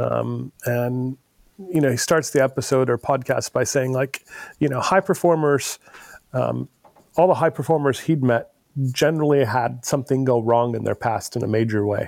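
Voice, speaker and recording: A man with a normal speaking voice talks at a medium pitch and moderate pace. His pitch variation is ordinary, and the sound is dry and close with no echo. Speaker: podcast host. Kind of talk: casual interview conversation.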